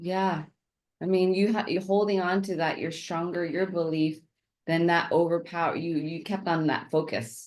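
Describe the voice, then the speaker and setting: A woman's ordinary speaking voice at a fairly low pitch and moderate pace. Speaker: podcast host. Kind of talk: podcast interview questions.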